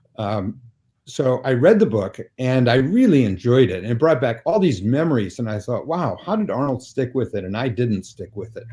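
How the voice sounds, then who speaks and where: On a very clean recording with a silent background, a man with an American accent speaks at a moderate pace, somewhat breathy, with medium pitch and lively intonation. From US Midwest, suburban Chicago. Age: 70s. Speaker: author and newspaper syndicate founder. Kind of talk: interview conversation.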